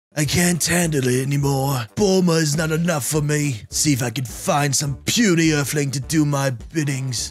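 Over faint music, a man in a put-on character voice talks at a moderate pace with a fairly high pitch and hardly any pauses. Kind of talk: comic overacting. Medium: virtual streamer. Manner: pompous, melodramatic.

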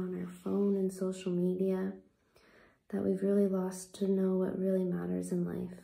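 A soft-spoken woman talks in a gentle, soothing tone. Audible room echo surrounds her voice. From Canada. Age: 20s. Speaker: ASMR content creator. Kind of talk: guided meditation, gentle affirmations. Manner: soft-spoken, slow and soothing; gentle, reassuring, unhurried pacing. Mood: earnest, reflective. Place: home room. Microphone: phone near.

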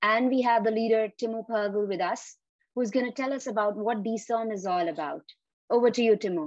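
A woman with an ordinary speaking voice talks at a fairly quick pace and fairly high pitch, with ordinary pitch variation and a dry sound with no echo. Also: quiet background. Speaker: interview host. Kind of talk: interview.

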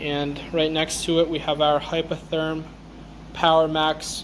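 Over light background noise, a man speaks in a flat monotone. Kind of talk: shop tour narration. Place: workshop. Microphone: phone near.

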